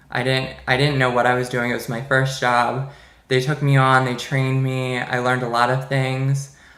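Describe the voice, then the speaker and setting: A man with an American accent speaks at a moderate pace in a medium pitch, his tone bright and sharp. His intonation stays flat and monotone, and the room echo is audible. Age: 20s. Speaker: business student. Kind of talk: class presentation monologue. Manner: casual with hesitations.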